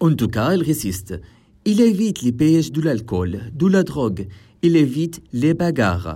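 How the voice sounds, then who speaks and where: This man's dark, mellow voice sits fairly high for a man, with vocal fry, very wide pitch swings and a fairly slow pace. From Syria. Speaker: podcast co-host. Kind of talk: scripted narration.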